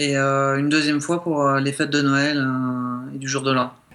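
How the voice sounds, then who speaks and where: Over noticeable background noise, a man with a fairly high voice for a man talks at a moderate pace in a monotone, flat intonation. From southern France, Montpellier. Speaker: guest. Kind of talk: radio interview.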